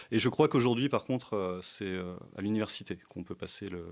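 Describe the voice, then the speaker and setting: A man speaks with normal pitch variation at a moderate speed. The recording is very clean and the background silent. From France, Burgundy (Brionnais). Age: 40s. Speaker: tour guide and history teacher. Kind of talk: podcast interview. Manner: hesitant, many fillers.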